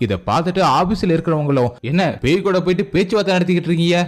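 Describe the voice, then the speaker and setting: This man speaks with a high pitch. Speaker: movie explainer voice-over narrator. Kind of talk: movie recap narration, casual and humorous storytelling.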